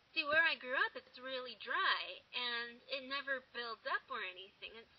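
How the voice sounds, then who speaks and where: A woman's high voice with an American accent, ordinary pitch variation and a moderate pace, over noticeable background noise. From eastern Washington State, US. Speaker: vlogger. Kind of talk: casual vlog. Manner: animated. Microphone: poor audio.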